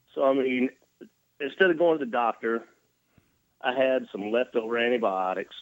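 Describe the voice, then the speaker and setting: With a Tennessee accent, a man talks at a moderate pace and a medium pitch. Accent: Tennessee Southern. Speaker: touring rock musician, interview guest.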